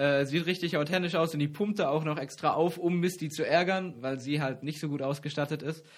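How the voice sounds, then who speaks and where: This man has a plain, everyday voice with a fairly high pitch and fairly even intonation. He moves at a fairly quick pace with hardly any pauses. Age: 20s. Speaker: campus radio co-host. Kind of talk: casual trivia chat show.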